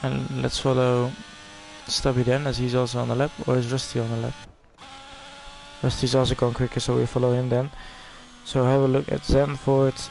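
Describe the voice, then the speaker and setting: With noticeable background noise behind him, a man speaks in a monotone, flat intonation, leaving long and frequent pauses. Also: medium pitch for a man, moderate pace. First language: Dutch. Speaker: esports race commentator. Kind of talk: live commentary.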